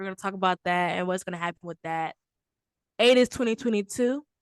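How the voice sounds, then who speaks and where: A woman with a Southern accent speaks at a medium pitch and fairly quick pace with ordinary pitch variation. The sound is dry and close with no echo, over a quiet background. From Texas, Houston. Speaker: podcast host. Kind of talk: casual chat.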